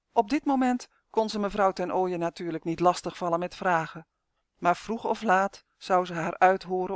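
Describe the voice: Set against a quiet background, the plain reading aloud shows ordinary pitch variation.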